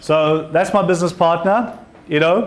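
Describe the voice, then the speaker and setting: A man with a strong South African accent, at a moderate pace. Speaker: entrepreneur and invited speaker. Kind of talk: talk to an audience.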